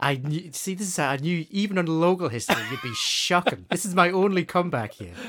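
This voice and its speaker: A high-pitched man speaks with hardly any pauses and ordinary pitch variation. Noticeable background noise can be heard. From northeast England. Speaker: podcast co-host. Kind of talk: casual quiz chat.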